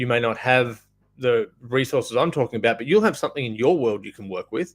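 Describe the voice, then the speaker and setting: A medium-pitched man with an Australian accent. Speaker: off-grid solar business owner. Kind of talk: live stream business advice talk. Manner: casual, filler words.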